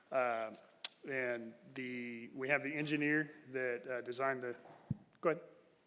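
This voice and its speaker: A man with an American accent speaks at a moderate pace and medium pitch, his intonation fairly even, with long, frequent pauses over noticeable background noise. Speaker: city staff member presenting agenda item. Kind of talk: council meeting staff report. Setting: city council chamber. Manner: loud.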